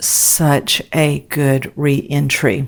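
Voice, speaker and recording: A woman talks with a very deep, low pitch. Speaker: podcast host and ministry leader. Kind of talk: reflective monologue podcast. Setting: home office. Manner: quieter than usual.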